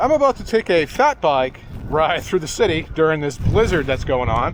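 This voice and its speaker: The speech comes at a fairly quick pace over noticeable background noise. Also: man. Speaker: video blogger. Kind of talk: vlog narration. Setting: outdoors, riding a bike in a blizzard.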